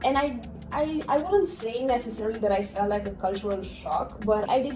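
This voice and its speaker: Music plays in the background as a woman with a Romanian accent talks at a fairly quick pace with ordinary pitch variation, and room echo is audible. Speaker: program coordinator. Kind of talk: podcast interview.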